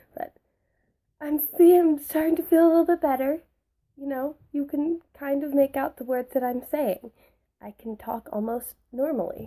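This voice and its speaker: A dark, mellow tone comes through at a moderate pace with ordinary pitch variation. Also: woman, high pitch for a woman. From Canada. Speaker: book vlogger. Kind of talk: casual chat. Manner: chatty, filler-heavy.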